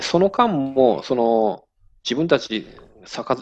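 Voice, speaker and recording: A man with an ordinary speaking voice uses lively intonation at a medium pitch. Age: 40s. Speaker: sake brewery owner. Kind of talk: interview.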